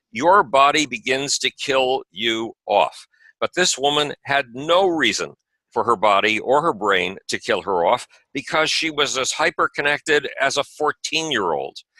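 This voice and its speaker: With an American accent, a man speaks in a bright, sharp tone with vocal fry and lively intonation, recorded very cleanly with a dry, close sound, no echo and a silent background. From USA. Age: 70s. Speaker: author and space advocate. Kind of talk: interview conversation. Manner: animated.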